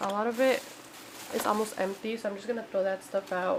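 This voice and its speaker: Against noticeable background noise, a woman keeps fairly even intonation at a fairly high pitch. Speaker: vlogger. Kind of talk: casual vlog. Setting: at home. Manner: soft-spoken.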